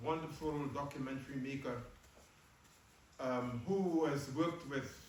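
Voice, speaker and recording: A man's fairly high voice at a moderate pace with fairly even intonation, amid noticeable background noise and audible room echo. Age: 80s+. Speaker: professor and activist. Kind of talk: post-screening talk and Q&A. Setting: screening event with live audience.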